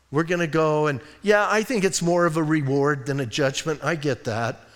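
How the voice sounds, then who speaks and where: A man's fairly high, unremarkable speaking voice with lively intonation at a moderate pace. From Arizona (Bisbee). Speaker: pastor. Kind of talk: sermon.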